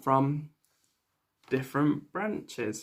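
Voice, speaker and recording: A fairly high-pitched man with a Mancunian accent, at a fairly slow pace. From northern England, Manchester. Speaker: English teacher. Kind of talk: online English lesson with story reading. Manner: slow, clear teacher delivery.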